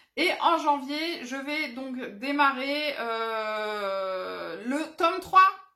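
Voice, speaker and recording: A woman's raised, projected, high-pitched voice, bright and sharp in tone, with lively intonation. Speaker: adult colouring hobby youtuber. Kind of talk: casual show-and-tell vlog. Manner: loud.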